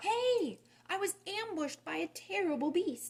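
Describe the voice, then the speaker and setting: Putting on a squeaky character voice, the woman talks at a moderate pace with an extremely high pitch. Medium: read story. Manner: indignant.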